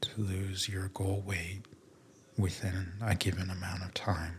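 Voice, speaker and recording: Soft-spoken, a man talks in a very deep, low pitch with monotone, flat intonation. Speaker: ASMR podcaster. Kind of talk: soft-spoken sleep podcast talk.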